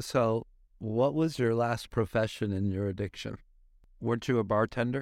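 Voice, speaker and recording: A man with an ordinary speaking voice, medium pitch and fairly even intonation talks at a moderate pace. The recording is very clean, with a silent background. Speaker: podcast host in recovery organization. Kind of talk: casual interview chat. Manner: playful, joking.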